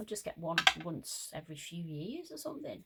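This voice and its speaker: A woman with an English accent, somewhat breathy, with very wide pitch swings and a moderate pace. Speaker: crafter. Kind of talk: craft tutorial chat. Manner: casual, chatty.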